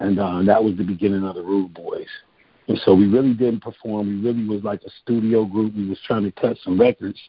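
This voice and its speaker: A man speaks fairly quickly with an American accent. His pitch is fairly low and his intonation monotone and flat. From Cleveland, Ohio. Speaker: songwriter and singer. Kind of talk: interview.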